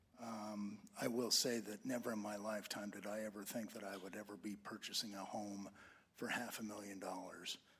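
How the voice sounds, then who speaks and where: Against audible room echo, a man with an American accent talks fairly quickly at a fairly low pitch, his intonation monotone and flat. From Idaho. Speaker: resident giving public comment. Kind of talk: public comment. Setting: council meeting.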